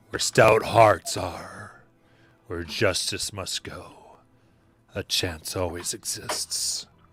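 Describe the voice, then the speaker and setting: Putting on a gravelly character voice, a man speaks very slowly at a fairly low pitch, with long, frequent pauses and big swings in loudness. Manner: solemn, resolute.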